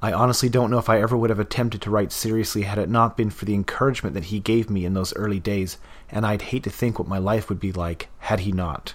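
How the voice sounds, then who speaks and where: A plain, everyday voice from a man with a Canadian accent, fairly low in pitch, ordinary pitch variation, fairly quick pace. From Canada, Vancouver area. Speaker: podcast novelist. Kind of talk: scripted introduction.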